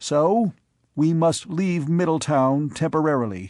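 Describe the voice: Putting on a character voice, a man speaks fairly slowly at a fairly high pitch with lively intonation.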